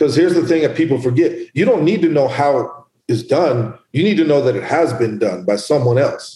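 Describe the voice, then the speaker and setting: Lively intonation in a dark, mellow, somewhat breathy tone, very even loudness and hardly any pauses. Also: man, fairly high pitch for a man. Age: 40s. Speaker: entrepreneur and boxing gym owner. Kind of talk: casual interview.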